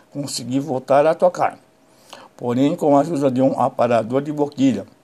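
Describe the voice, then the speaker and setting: A man speaks in a fairly high pitch. His tone is dark and mellow. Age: 60s. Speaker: saxophonist. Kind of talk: personal testimony.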